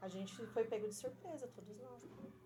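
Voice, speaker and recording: A woman's fairly high-pitched, ordinary speaking voice with lively intonation at a moderate pace. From Rio Grande do Sul, Brazil. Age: 40s. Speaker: school teacher. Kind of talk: interview conversation.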